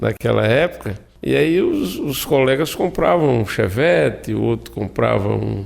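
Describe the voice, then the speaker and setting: Noticeable background noise behind a man talking at a fairly slow speed. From Brazil, Alagoas (Viçosa, Zona da Mata). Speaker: cooperative president, agricultural technician. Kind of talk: radio interview. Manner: halting, many fillers.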